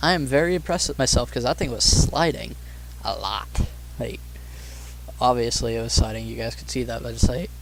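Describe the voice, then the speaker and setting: Through audible room echo, a man talks with long, frequent pauses and big swings in loudness. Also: fairly quick pace. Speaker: gaming YouTuber. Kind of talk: gameplay commentary. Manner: monotone.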